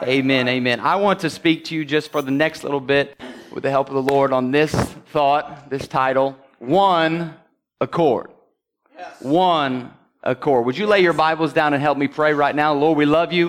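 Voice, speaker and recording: A man has a plain, everyday voice with a fairly high pitch. He talks at a moderate pace. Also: fairly even intonation. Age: 30s. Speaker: pastor. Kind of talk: Sunday sermon with scripture reading and congregational call-and-response. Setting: church service with congregation. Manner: punctuated by frequent amens, call-and-response with congregation.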